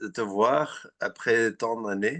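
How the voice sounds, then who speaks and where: A man with a Flemish accent and a bright, sharp tone, at a very slow pace with ordinary pitch variation, over a quiet background. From Flanders, Belgium. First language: Dutch (Flemish) (speaking French). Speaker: dental researcher. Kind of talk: webinar Q&A chat. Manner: halting, many repetitions.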